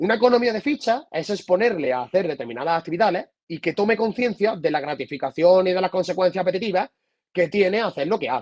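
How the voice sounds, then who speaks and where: With an Andalusian accent, a man talks at a very fast pace and a high pitch. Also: lively intonation. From Andalusia, Spain. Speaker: psychotherapist. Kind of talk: lecture.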